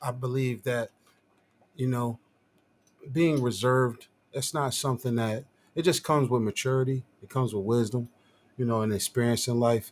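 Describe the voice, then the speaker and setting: His pitch medium for a man, a man speaks at a moderate pace with fairly even intonation. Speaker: visual artist. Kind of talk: casual chat. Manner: soft-spoken. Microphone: too quiet, facing away from mic.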